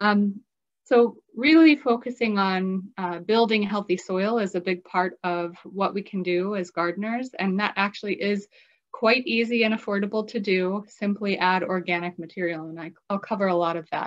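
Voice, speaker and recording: A woman talks at a medium speed, her pitch varying normally, with little sound behind her. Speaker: presenter. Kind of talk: lecture. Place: home room. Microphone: webcam.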